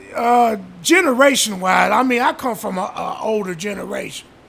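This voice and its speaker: There is noticeable background noise as a man speaks, his pitch varying in an ordinary way. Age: 60s. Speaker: real estate investor. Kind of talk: casual interview. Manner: halting.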